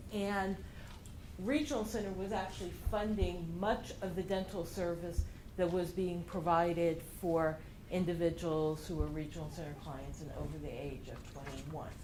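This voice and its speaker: With audible room echo, a woman speaks at a medium pitch and moderate pace, her pitch varying in an ordinary way and her loudness swinging widely. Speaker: regional center health services director. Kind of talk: presentation.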